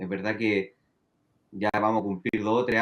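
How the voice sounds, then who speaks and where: A man with a Chilean accent. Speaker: finance professor. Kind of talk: interview.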